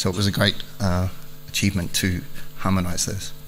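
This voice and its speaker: A man speaks with an Australian accent at a moderate pace. His fairly low voice has a bright, sharp tone. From Australia, Melbourne. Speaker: aviation industry strategy manager. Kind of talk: conference keynote speech.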